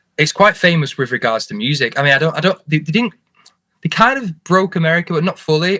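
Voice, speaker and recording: Very fast delivery in a Lancashire accent, bright, sharp tone, dry, close sound with no echo. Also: man, high pitch for a man, lively intonation. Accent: Lancastrian. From northern England, Oldham near Manchester. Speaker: musician. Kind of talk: interview.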